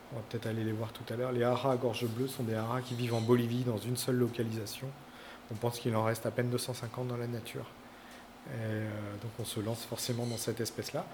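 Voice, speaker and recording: Very fast and monotone, a man speaks at a medium pitch with flat intonation. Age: 40s. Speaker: zoo director and veterinarian. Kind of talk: guided tour explanation. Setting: inside a tropical zoo greenhouse. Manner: hesitant, many fillers and repetitions.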